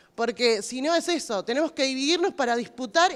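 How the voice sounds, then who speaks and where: A woman speaks with lively intonation. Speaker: health worker, activist. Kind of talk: panel discussion.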